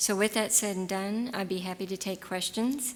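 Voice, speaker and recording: This woman has a normal speaking voice with medium pitch, fairly even intonation, and an American accent. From Texas. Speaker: gynecologist giving a talk. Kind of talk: lecture with audience Q&A.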